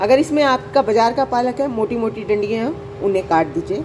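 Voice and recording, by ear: Clear background noise runs under this recording. A woman with a fairly high voice talks at a fairly quick pace with lively intonation.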